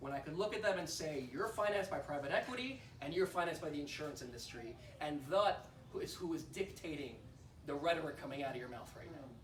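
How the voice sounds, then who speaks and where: A man speaks very fast with lively intonation and a fairly high pitch. Noticeable background noise runs behind him. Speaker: political candidate for US Congress giving a campaign speech. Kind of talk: fundraiser campaign speech.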